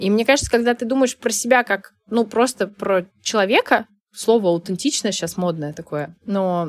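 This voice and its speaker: A woman talks at a fairly slow pace in a normal speaking voice with medium pitch. The sound is dry and close with no echo, in a very clean recording over a silent background. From Saint Petersburg, Russia. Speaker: life coach. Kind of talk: interview conversation.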